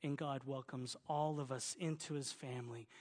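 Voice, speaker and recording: A man with a Southern US accent speaks at a fairly slow pace in a somewhat breathy voice, with fairly even intonation and a quiet background. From Oklahoma, US South. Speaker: pastor. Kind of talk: sermon. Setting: church.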